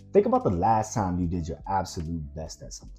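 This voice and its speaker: A man with an American accent, music in the background. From Washington DC area. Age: 30s. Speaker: filmmaker. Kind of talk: motivational talk to camera.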